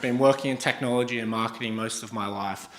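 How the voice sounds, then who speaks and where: A man in an Australian accent speaks at a fairly quick pace with fairly even intonation. Audible room echo and noticeable background noise are present. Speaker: startup founder and CEO. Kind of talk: startup pitch presentation. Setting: stage with audience.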